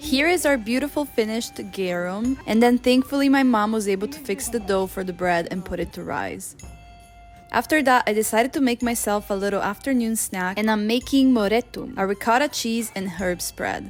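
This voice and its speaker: Fairly high-pitched woman at a moderate pace, ordinary pitch variation, music in the background. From Northern Italy (Veneto). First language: Italian. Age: 20s. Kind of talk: casual vlog narration.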